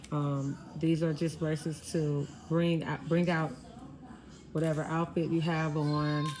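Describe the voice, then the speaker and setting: With audible room echo, a woman speaks in a very deep, low pitch at a fairly slow pace, her intonation monotone and flat, her loudness very even, and her long pauses frequent. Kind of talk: tutorial. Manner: casual, conversational.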